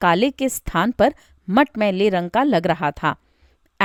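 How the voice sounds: This is a natural reading voice with lively intonation over a quiet background.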